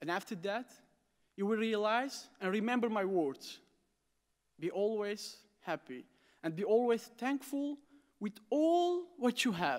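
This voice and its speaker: Against a quiet background, a man with a high pitch speaks at a fairly slow pace, swinging very widely in pitch and taking long, frequent pauses. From Aleppo, Syria; Syria. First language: Armenian or Arabic. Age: 20s. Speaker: refugee student. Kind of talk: prepared speech. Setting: stage with audience at academic ceremony. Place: hall. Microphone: podium.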